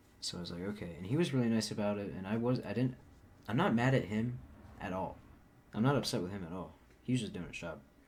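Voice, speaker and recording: A soft-spoken man with a fairly low pitch talks at a very fast pace yet with long, frequent pauses, and the room echo is audible. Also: lively intonation. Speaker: vlogger. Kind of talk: casual vlog monologue. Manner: soft-spoken, quiet.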